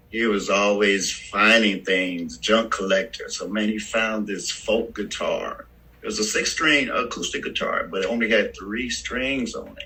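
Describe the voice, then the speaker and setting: A man with an American accent talks at a fairly slow pace, with hardly any pauses. There is noticeable background noise. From Richmond, California (US West Coast). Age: 60s. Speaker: bass player. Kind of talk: casual interview.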